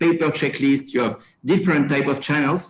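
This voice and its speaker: With a French accent, a man speaks at a fairly high pitch. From France. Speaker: company regional manager. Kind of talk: panel discussion. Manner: halting, many fillers.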